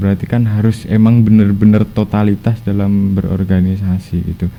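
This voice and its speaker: A man speaks with a Javanese accent. His pitch is fairly low and his pace is moderate. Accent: Javanese-tinged Indonesian. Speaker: former student organization officer. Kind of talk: podcast interview, advice. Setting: studio podcast.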